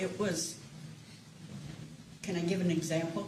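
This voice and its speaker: A woman speaks at a fairly slow pace. There is audible echo from the room. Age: 70s. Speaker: trial witness. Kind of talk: court testimony. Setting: courtroom.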